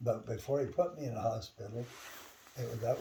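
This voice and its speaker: At a fairly quick pace, a man with an American accent speaks at medium pitch in a somewhat breathy, dark, mellow tone. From US West (rural Idaho). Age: 80s+. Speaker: church member. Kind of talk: interview. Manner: casual, conversational.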